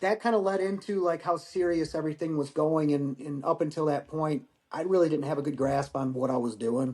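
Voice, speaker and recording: In a plain, everyday voice with an American accent, the speaker moves at a fairly quick pace with hardly any pauses and ordinary pitch variation. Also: man, fairly high pitch for a man. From Michigan. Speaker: war veteran. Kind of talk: casual chat.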